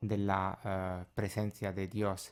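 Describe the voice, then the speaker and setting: A man talks at a very slow pace. He speaks with an Italian accent. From Italy. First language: Italian (speaking Spanish). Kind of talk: radio interview testimony. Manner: halting, many filler sounds.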